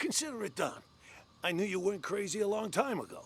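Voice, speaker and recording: Putting on a character voice, a man talks very fast in a high, raspy voice with ordinary pitch variation. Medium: video game. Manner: stammering, nervous.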